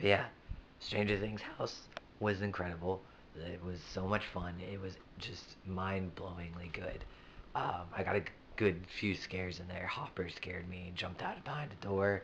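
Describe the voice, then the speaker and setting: In a very deep, low voice, a man speaks at a moderate pace with monotone, flat intonation and audible room echo. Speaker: vlogger. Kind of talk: casual vlog recap. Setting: bedroom. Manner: hesitant, many ums.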